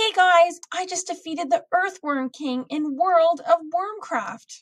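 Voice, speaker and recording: A squeaky, put-on character voice at a fairly slow pace. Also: woman, extremely high pitch for a woman. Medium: read story.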